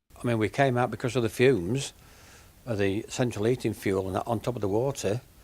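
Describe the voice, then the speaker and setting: Medium in pitch, a man speaks with a Lincolnshire accent. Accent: northern English (Lincolnshire). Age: 70s. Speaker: flood-hit pet shop owner. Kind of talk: interview.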